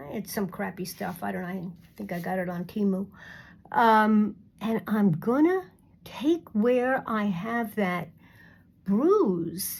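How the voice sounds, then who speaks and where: A somewhat breathy woman at a very slow pace, on a very clean recording with a silent background. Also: medium pitch for a woman, ordinary pitch variation. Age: 60s. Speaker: beauty vlogger. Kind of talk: makeup tutorial. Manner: halting.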